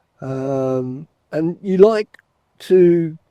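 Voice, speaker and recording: A man with an English accent, dark and mellow in tone, in a dry, close recording with no echo. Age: 60s. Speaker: retired fishing vlogger. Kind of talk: casual chat. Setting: outdoors. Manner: hesitant, fillers.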